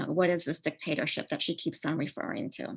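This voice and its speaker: A woman at a fairly quick pace, with a Spanish accent. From Uruguay, then Maryland in high school. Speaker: professor. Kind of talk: online lecture. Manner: many filler words (um, uh).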